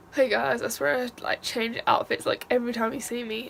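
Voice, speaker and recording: A woman speaks over noticeable background noise. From Manchester, northern England. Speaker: vlogger. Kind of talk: casual vlog chat.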